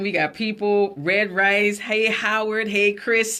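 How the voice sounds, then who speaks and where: In a South Carolina Lowcountry accent, a woman at medium pitch sounds animated, her tone bright and sharp, on a very clean recording with a silent background. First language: Gullah. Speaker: radio talk show host. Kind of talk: casual live radio chat. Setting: radio studio, also streamed live.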